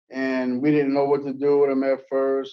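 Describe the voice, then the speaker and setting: The man's pitch is medium. He keeps to a moderate pace. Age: 60s. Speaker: prison inmate at parole hearing. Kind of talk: testimony. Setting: parole hearing. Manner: halting.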